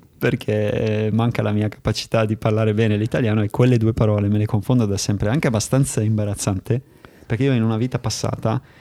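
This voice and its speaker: The voice is dark and mellow, very fast, very even in loudness and monotone, with flat intonation. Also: man, fairly low pitch for a man. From Germany. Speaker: podcast host and video maker. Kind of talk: interview conversation.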